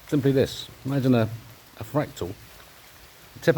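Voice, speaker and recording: Speaking with an English accent, a man talks at a medium pitch and moderate pace with ordinary pitch variation. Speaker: amateur science video maker. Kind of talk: monologue explanation. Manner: halting.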